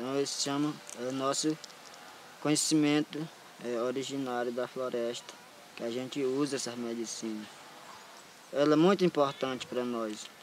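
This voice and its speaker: A man talks at a medium pitch and moderate pace, with long, frequent pauses and fairly even intonation. Background noise is noticeable. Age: young. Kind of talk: interview. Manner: halting.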